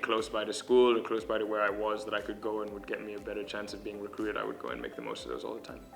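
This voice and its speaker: Music plays in the background as a man speaks very fast, fairly low in pitch and in a monotone, flat intonation. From Kenya. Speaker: college student, former soccer player. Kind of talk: interview answer.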